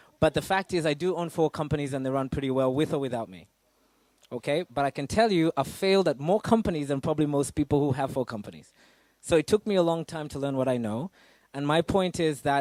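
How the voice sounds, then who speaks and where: Speaking at a very fast pace, a man with a fairly high pitch uses ordinary pitch variation in a dry, close sound with no echo. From Africa. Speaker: business speaker, entrepreneur. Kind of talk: talk to an audience. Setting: stage with live audience in a cafe. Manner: casual, animated.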